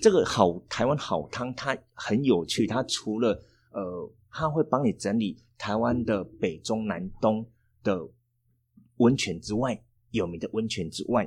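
At a fairly slow pace, a man with a Taiwanese accent speaks with ordinary pitch variation in a very clean recording with a silent background. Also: medium pitch for a man. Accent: Taiwanese Mandarin. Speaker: tour planning teacher, former tour guide. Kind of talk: casual interview chat.

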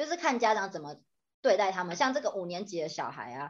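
With a bright, sharp tone and very wide pitch swings, a woman speaks over a quiet background. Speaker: podcast co-host, Chinese tutor. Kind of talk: casual chat.

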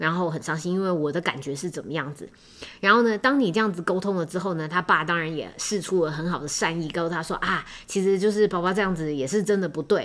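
Very fast speech from a woman with a Taiwanese accent, fairly low in pitch with ordinary pitch variation. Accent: Taiwanese Mandarin. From Taiwan, Taipei. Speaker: podcast host. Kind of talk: casual solo podcast monologue. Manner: hesitant, many filler words.

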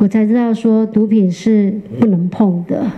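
Noticeable background noise runs behind the recording. A woman talks at a fairly high pitch with fairly even intonation. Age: 50s. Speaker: former prisoner turned baker. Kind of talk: interview testimony.

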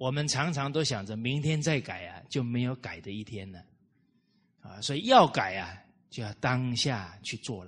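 A man at medium pitch, somewhat breathy, at a moderate pace with lively intonation and big swings in loudness. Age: 30s. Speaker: Buddhist-style moral lecturer. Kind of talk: lecture. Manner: frequent filler particles.

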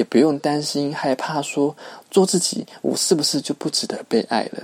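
A man with a fairly high pitch and a dark, mellow tone is heard in a dry, close sound with no echo. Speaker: podcast host. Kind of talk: solo podcast monologue. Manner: many filler particles, conversational.

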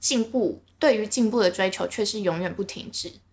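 Her pitch is fairly high for a woman. She talks at a moderate pace. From Taiwan, Linkou (New Taipei). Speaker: podcast co-host. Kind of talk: casual chat.

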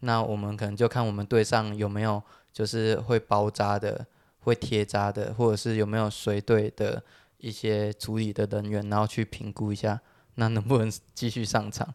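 A fairly low-pitched man at a moderate pace, monotone and flat, in a very clean recording with a silent background and a dry, close sound with no echo. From Taiwan. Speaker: podcast co-host. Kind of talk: casual chat.

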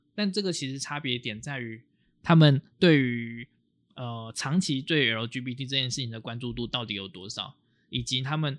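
A man's voice at medium pitch, moderate pace, and ordinary pitch variation, with big swings in loudness, on a very clean recording with a silent background. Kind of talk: casual chat.

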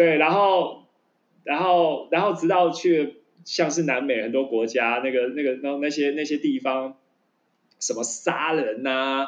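With a plain, everyday voice, a man speaks at a fairly slow pace in a fairly high pitch, showing ordinary pitch variation. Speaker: podcast co-host. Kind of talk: casual chat.

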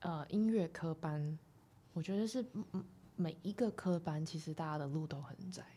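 A woman's somewhat breathy, fairly low voice with a dark, mellow tone, ordinary pitch variation, a moderate pace and long, frequent pauses. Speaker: photographer. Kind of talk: casual interview. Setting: studio.

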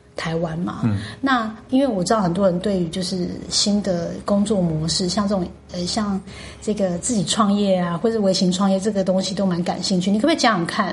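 A woman talks at a fairly quick pace with ordinary pitch variation. Noticeable background noise and audible room echo are present. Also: medium pitch for a woman. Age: 40s. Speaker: podcast host. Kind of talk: casual interview chat.

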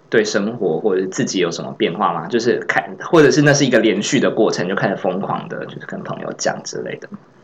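Amid audible room echo, a man talks at a fairly quick pace with lively intonation and big swings in loudness. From Taiwan, Tainan. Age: 30s. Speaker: podcast co-host. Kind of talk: casual chat.

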